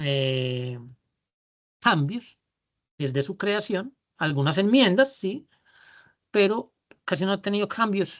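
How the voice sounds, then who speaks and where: With a strong Antioquian accent, the speaker goes at a very slow pace, leaving long, frequent pauses against a quiet background. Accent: paisa (Antioquia Colombian), strong. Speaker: business leadership trainer. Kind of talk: online workshop lecture. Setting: video call. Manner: drawling.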